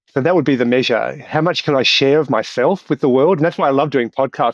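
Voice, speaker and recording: At a very fast pace, a man with an Australian accent talks at medium pitch, the sound dry and close with no echo. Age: 60s. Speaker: doctor and professor. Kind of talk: podcast interview.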